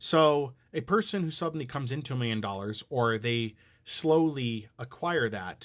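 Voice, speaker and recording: Over a silent background in a very clean recording, a man with an American accent speaks at a medium pitch with lively intonation. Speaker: social commentary creator. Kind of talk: casual commentary monologue. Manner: fast.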